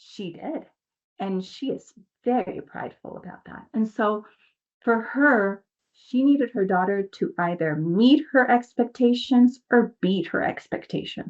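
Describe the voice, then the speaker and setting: A woman in a Spanish accent talks at a fairly slow pace and fairly high pitch, animated in tone, with lively intonation and big swings in loudness. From New York City and Dominican Republic. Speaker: mindset coach, nonprofit founder. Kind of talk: podcast interview, personal story.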